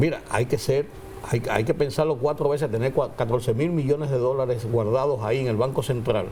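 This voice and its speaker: A man talks fairly quickly while noticeable background noise continues. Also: medium pitch for a man, ordinary pitch variation, very even loudness. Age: 70s. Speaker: political commentator. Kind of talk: panel discussion.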